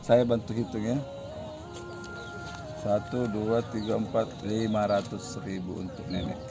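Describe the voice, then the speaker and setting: A man at a fairly low pitch, fairly slow and fairly even in intonation, with long, frequent pauses and music in the background. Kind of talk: donation handover talk to camera.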